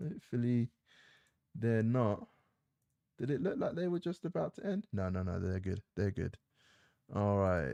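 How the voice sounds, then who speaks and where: A man with a medium pitch and a dark, mellow tone speaks at a moderate pace with very wide pitch swings and long, frequent pauses, in a dry, close sound with no echo against a quiet background. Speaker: gaming live streamer. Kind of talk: casual live stream chat. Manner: rambling, hesitant with fillers.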